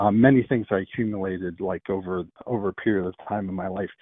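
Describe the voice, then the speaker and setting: In an unremarkable speaking voice, a man with an American accent talks at a moderate pace and a fairly low pitch. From Pennsylvania. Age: 60s. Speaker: caller. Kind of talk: casual phone chat. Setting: phone call.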